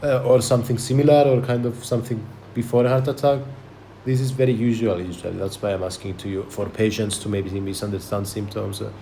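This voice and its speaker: Somewhat breathy and dark, mellow in tone, a man with a non-native accent and medium pitch talks at a very fast pace amid audible room echo. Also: ordinary pitch variation. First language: not English. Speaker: podcast host. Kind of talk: medical history-taking role play. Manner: halting, many fillers and repetitions.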